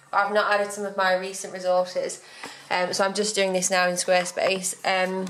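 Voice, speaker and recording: A woman speaks with an English accent at a moderate pace, in a medium pitch with monotone, flat intonation. Audible room echo and noticeable background noise are present. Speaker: blogger and business coach. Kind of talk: vlog.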